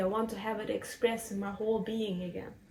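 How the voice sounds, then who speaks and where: At a fairly quick pace, a woman speaks in a fairly high pitch with monotone, flat intonation. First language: German. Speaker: spiritual podcaster. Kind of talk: personal reflective monologue. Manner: halting.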